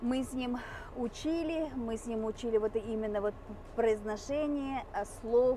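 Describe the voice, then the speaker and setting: Speaking at a very slow pace, a woman with a Mari El accent has a fairly high voice. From Mari El, Russia. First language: Mari (speaking Russian). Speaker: vlogger. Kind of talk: casual vlog talk. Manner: hesitant, many filler sounds.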